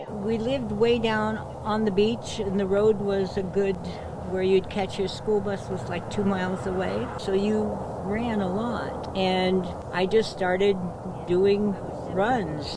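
Over noticeable background noise, a woman speaks at a very slow pace in a dry sound with no echo. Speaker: triathlete. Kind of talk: interview answer. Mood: cheerful, proud. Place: garden.

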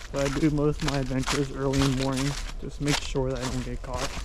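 Loud background noise fills the clip. A man speaks in a dry sound with no echo. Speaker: urban explorer vlogger. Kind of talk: casual vlog chat. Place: forest. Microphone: phone near.

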